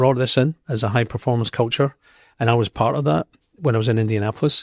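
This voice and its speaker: A man with a Scottish accent at a very fast pace, ordinary pitch variation, in a very clean recording with a silent background and a dry, close sound with no echo. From Scotland. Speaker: company executive. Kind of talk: interview.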